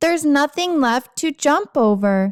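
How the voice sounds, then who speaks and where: A loud, high-pitched put-on character voice from a woman at a moderate pace. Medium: read story. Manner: loud, announcing.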